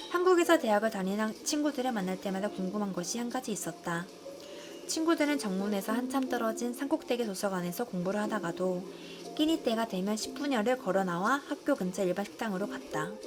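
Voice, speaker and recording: Very wide pitch swings from a woman talking at a fairly quick pace, over noticeable background noise. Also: medium pitch for a woman. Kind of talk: audiobook reading of nonfiction.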